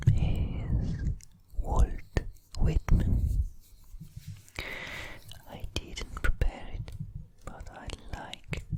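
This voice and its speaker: A man whispers at a very slow pace, his loudness swinging widely, with long, frequent pauses and noticeable background noise. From Italy. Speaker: poet and artist. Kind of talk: ASMR poetry reading. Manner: whispered, soft-spoken.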